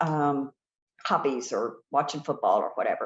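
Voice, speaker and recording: Speaking fairly slowly, a woman talks in an American accent. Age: 60s. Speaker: therapist. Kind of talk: podcast interview. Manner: hesitant, many fillers.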